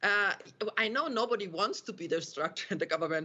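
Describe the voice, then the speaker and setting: Her pitch sits fairly high. This woman has a German accent. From Austria. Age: 50s. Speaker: university professor. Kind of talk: panel discussion. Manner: halting.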